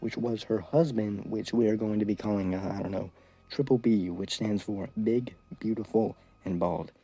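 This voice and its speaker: Over music in the background, a man speaks at a fairly low pitch and a moderate pace with ordinary pitch variation. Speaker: YouTuber. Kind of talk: storytelling vlog. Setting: hotel room. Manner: quieter than usual; animated.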